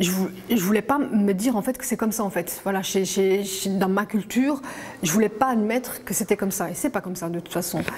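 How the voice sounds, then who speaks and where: A woman's medium-pitched voice at a fairly quick pace, with ordinary pitch variation over noticeable background noise. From Belgium, Walloon Brabant. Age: 40s. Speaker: interviewee sharing life story. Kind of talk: testimony. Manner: halting.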